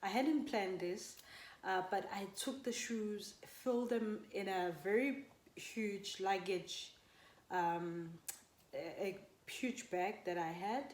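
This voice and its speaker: A woman speaks very slowly in a relaxed tone, at a medium pitch with ordinary variation. Audible room echo surrounds her voice. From South Africa. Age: 30s. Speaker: vlogger. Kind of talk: story time vlog. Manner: mumbling.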